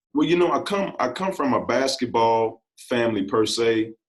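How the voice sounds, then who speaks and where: This man has an ordinary speaking voice at a medium pitch, with an American accent. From US Midwest, southeast Missouri (Bootheel). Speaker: basketball coach. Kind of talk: interview.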